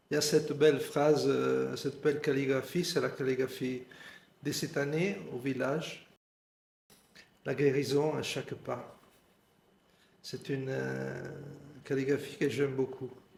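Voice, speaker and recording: A man speaks at a fairly slow pace, with long, frequent pauses and a medium pitch. His delivery is monotone and flat, with vocal fry throughout. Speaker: meditation teacher. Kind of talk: guided meditation. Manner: halting.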